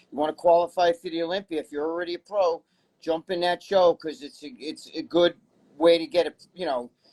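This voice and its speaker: A high-pitched man in a New York accent, at a moderate pace with fairly even intonation and a dry, close sound with no echo. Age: 60s. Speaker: bodybuilding personality and magazine writer. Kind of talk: casual interview chat.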